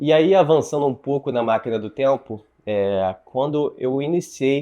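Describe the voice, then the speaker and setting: The voice has a dark, mellow tone. It belongs to a man. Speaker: YouTuber. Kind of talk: personal storytelling monologue. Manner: hesitant, with filler words.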